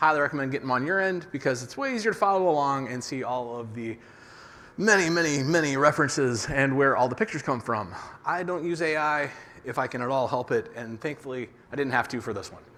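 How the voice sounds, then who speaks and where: Bright and sharp in tone, a man's fairly high voice races at a very fast pace. His intonation is lively and his loudness swings widely. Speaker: conference speaker on developer security. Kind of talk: conference talk.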